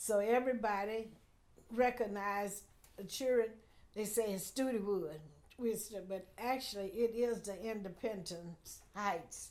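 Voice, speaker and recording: A woman with an American accent speaks at a fairly slow pace with long, frequent pauses, her fairly high pitch and fairly even intonation carried on audible room echo. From Houston, Texas. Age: 80s+. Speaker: community elder. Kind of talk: oral history interview.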